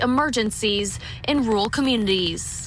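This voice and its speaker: Noticeable background noise runs under a woman whose pitch moves in an ordinary way. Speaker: TV news reporter. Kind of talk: news package voiceover.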